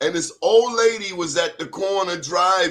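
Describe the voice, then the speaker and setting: A man's high voice unfolds at a fairly slow pace. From Baltimore, US. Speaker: awards show interviewer. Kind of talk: casual interview chat. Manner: animated.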